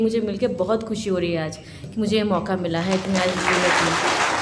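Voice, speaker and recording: A woman with a Bengali accent and ordinary pitch variation, amid noticeable background noise and audible room echo. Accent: Bengali accent in Hindi. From Kolkata, West Bengal, India. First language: Bengali (speaking Hindi). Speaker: lawyer and speaker on citizenship law. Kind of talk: public speech at a symposium.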